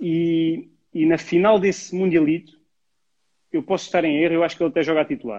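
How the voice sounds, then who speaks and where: Delivered at a fairly quick pace with long, frequent pauses, the voice has a dark, mellow tone. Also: man, high pitch for a man, ordinary pitch variation. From Portugal, Alentejo (Mértola). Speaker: youth football coach. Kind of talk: casual interview. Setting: Instagram live.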